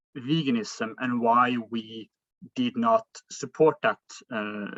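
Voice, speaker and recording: A man speaks in a Norwegian accent at a fairly slow pace. The sound is dry and close, with no echo. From Norway. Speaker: philosophy student. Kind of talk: debate. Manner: halting.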